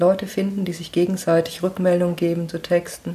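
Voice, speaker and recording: Somewhat breathy, this woman's voice sits at a fairly low pitch. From Lower Franconia, Germany (Schweinfurt). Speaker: author and software developer. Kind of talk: casual interview. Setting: home kitchen.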